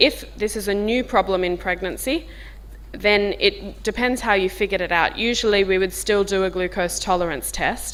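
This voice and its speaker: The speaker has a strong Australian accent. The pace is moderate. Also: woman. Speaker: diabetes physician. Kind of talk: medical workshop talk. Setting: conference workshop room, filmed. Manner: informal.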